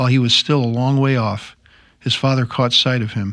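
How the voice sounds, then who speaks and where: In a plain, everyday voice, a man speaks with fairly even intonation. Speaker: Bible discussion panelist. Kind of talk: reading aloud and discussion. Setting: studio.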